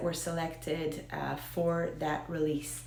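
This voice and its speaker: Over noticeable background noise and audible room echo, a woman in an American accent speaks at a fairly slow pace. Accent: American Israeli. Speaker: whiskey video host. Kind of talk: casual talk to camera about whiskey history. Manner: halting, many fillers.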